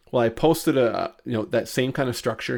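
Vocal fry from a man at a fairly quick pace, on a very clean recording with a silent background. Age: 30s. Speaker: marketing consultant. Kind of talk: interview.

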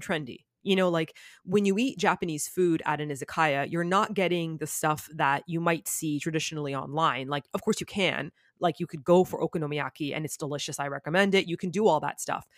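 An unremarkable speaking voice with a Canadian accent, ordinary pitch variation, a fairly quick pace, and a dry, close sound with no echo. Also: woman, fairly low pitch for a woman. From Canada (Toronto). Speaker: YouTuber. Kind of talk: casual chat. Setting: video call.

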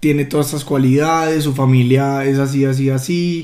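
Through audible room echo, a man with a dark, mellow tone speaks at a moderate pace in a fairly high pitch with monotone, flat intonation. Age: 20s. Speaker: host's fiancé. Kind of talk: casual chat. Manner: halting.

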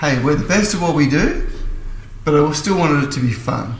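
A man with an Australian accent against noticeable background noise. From Melbourne, Australia. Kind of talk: casual chat.

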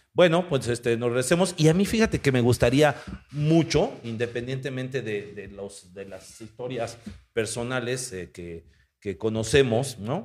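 A man speaks with a Mexican accent at a fairly slow pace and a medium pitch. His intonation is lively, and his loudness swings a lot. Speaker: podcast host. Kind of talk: casual chat.

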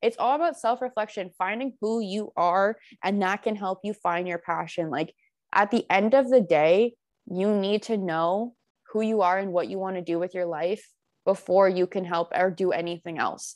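A woman with a plain, everyday voice talks at a moderate pace in a medium pitch with ordinary pitch variation, with a dry, close sound with no echo and a quiet background. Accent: Canadian. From Ontario, Canada (Burlington). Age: 20s. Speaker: college student. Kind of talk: casual interview.

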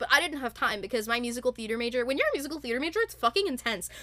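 A woman's raised, projected voice, high-pitched, bright and sharp in tone, enthusiastic throughout. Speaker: podcast host.

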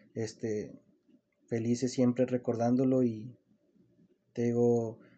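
This man's voice has a dark, mellow tone. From Mexico, Zacatecas. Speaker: small business owner. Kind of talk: casual interview.

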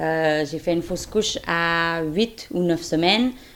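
With a fairly low pitch, a woman talks at a fairly slow pace. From Quebec. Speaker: surrogate mother. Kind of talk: testimony.

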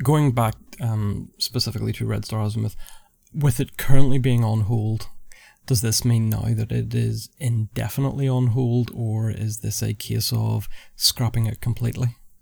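A man with a Northern Irish accent speaks at a medium pitch and moderate pace, somewhat breathy, with fairly even intonation. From Northern Ireland. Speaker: podcast host. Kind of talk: interview.

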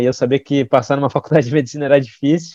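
Very fast and fairly high-pitched, a man speaks in a dark, mellow tone. The sound is dry and close, with no echo. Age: 20s. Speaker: physician and health startup founder. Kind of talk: interview.

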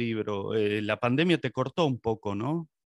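A man with an unremarkable speaking voice talks at a moderate pace with lively intonation. The sound is dry and close with no echo, over a quiet background. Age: 50s. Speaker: podcast host. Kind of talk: interview.

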